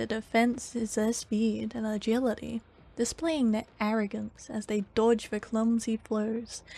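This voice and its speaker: Over background music, a woman with a fairly high pitch talks in a calm tone at a fairly slow pace. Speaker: ASMR content creator reading lore aloud. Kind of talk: ASMR lore reading, sleep narration. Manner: soft, calm, relaxing.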